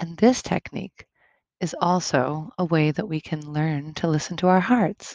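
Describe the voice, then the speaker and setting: The recording has a dry, close sound with no echo, carrying a plain, everyday voice with ordinary pitch variation. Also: woman, fairly low pitch for a woman. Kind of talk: guided meditation. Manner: calm, slow and soothing, with gentle instructions; soft-spoken, with long pauses between instructions.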